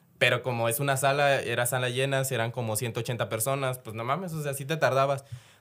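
A man with a normal speaking voice and medium pitch is heard. He moves at a fairly quick pace with fairly even intonation. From Mexico, Chiapas. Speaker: former cinema employee. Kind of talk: casual chat.

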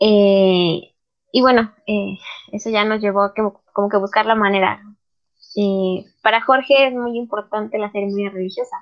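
A woman speaks in a normal speaking voice at medium pitch, with fairly even intonation and a moderate pace. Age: 20s. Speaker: math student. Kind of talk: casual interview chat.

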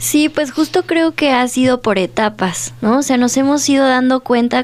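A woman speaks at a fairly slow pace with lively intonation. Hers is a plain, everyday voice. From Dolores Hidalgo, Guanajuato, Mexico. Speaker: visual artist. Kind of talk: radio interview. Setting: radio studio.

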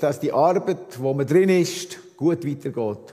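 Pitched fairly high, a man speaks at a very slow pace. His pitch variation is ordinary. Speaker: visiting preacher, former missionary. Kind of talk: sermon. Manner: halting.

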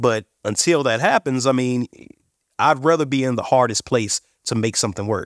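In an unremarkable speaking voice with an American accent, a man talks at a moderate pace and medium pitch, the sound dry and close with no echo on a very clean recording with a silent background. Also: ordinary pitch variation. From Indiana, US Midwest. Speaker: cannabis company CEO. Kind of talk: interview.

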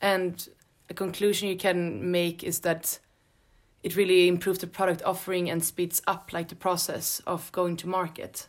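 A woman with a Swedish accent, fairly low pitch, monotone and flat intonation and a moderate pace, on a very clean recording with a silent background. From Sweden. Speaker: graduate student. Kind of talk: interview.

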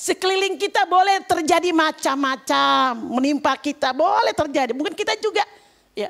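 A woman speaks at an extremely high pitch in an animated tone. Her intonation is lively. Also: moderate pace. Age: 60s. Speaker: lay preacher. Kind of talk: sermon. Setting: church.

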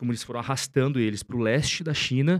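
Speaking at a very fast pace, a man with a medium pitch and ordinary pitch variation comes through in a dry, close sound with no echo. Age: 30s. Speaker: investor and finance content creator. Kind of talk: casual interview chat.

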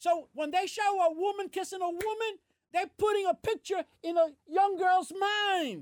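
A man's extremely high-pitched voice with a New York accent, at a moderate pace, dry and close with no echo. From US Northeast, Brooklyn. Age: 70s. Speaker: host's father. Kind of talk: casual chat. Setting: gym. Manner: energetic.

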